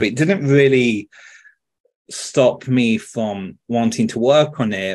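Speaking at a very slow pace, a man talks with a British accent. His pitch variation is ordinary, and the background is quiet. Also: medium pitch for a man. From France. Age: 30s. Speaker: video game director. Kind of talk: interview answer. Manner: casual, chatty. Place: home room. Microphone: earbuds.

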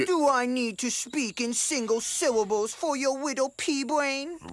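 Someone does a cartoonish character voice at high pitch. The pace is moderate, with light background noise. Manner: pompous, commanding, blustering.

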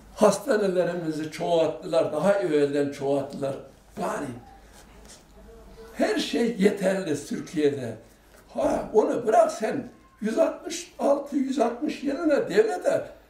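Very slow male speech, high in pitch, with very wide pitch swings and audible room echo. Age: 80s+. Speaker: elderly local resident. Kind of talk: interview answer. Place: home room.

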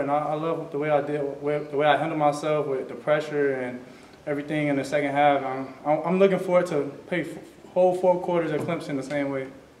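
A man at a fairly quick pace with fairly even intonation and audible room echo. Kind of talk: interview answer. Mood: relaxed, smiling. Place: meeting room. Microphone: podium.

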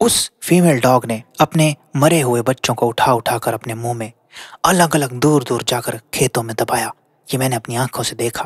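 The man sounds somewhat breathy, his medium pitch showing ordinary variation. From Haryana, India. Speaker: storyteller. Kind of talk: narrated storytelling.

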